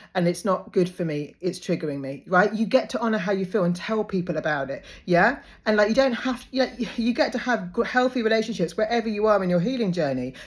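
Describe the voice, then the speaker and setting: Talking at a very fast pace, a woman uses a medium pitch and lively intonation. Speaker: life coach. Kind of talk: monologue.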